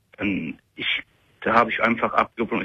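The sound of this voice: A man talks at a fairly quick pace, his bright, sharp tone carrying a husky, rough edge.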